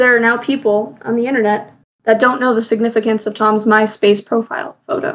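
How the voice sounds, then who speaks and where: Fairly quick pace from a woman, fairly high in pitch, with fairly even intonation. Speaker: podcast co-host. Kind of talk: casual chat. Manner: loud.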